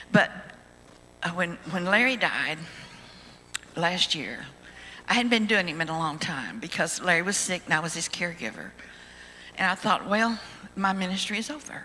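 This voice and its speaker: Her pitch medium with ordinary variation, a woman talks at a moderate pace with long, frequent pauses over noticeable background noise. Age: 80s+. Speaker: ventriloquist. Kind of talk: testimony.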